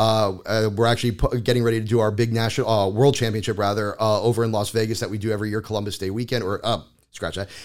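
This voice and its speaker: In an American accent, a man talks at a very fast pace with a fairly low pitch and monotone, flat intonation, on a very clean recording with a silent background. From South Florida. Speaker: paint company representative. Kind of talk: casual interview.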